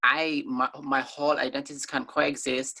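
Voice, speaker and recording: A woman speaks with an African accent. Her voice is very deep and low, with a bright, sharp tone. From Somalia, grew up in Kenya refugee camp. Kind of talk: interview. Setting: video call.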